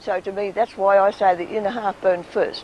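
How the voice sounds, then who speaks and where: A woman talks with an Australian accent at a moderate pace. Noticeable background noise runs underneath. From Tasmania. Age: 80s+. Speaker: local resident. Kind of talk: interview.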